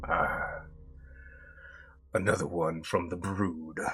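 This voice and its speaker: Putting on a character voice, a man speaks very slowly in a very deep, low pitch. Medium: actual play. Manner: cocky, sizing people up.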